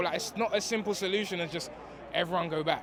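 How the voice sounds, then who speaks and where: Racing at a very fast pace, a man with a London accent speaks at a high pitch. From East London, England. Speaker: interviewee. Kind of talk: casual street interview. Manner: animated.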